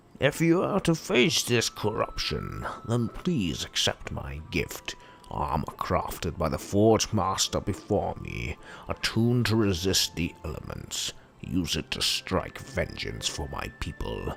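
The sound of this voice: Over clear background noise, a man does a put-on character voice at a very deep, low pitch and a fairly slow pace.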